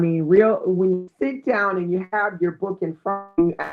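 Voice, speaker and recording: Her pitch fairly low, a woman speaks with ordinary pitch variation. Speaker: book YouTuber. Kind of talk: live stream chat. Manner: not fast.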